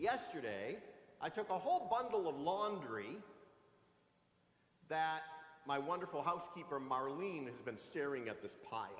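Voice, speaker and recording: A man's high voice with very wide pitch swings, long and frequent pauses, and audible room echo. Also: moderate pace. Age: 60s. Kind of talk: sermon. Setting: church. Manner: animated, conversational.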